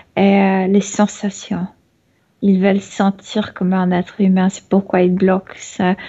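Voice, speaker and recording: Against a quiet background, a woman speaks at a very slow pace in a medium pitch. Her somewhat breathy delivery has monotone, flat intonation. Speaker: channeling medium. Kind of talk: trance channeling. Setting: video call. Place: home room. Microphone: video call.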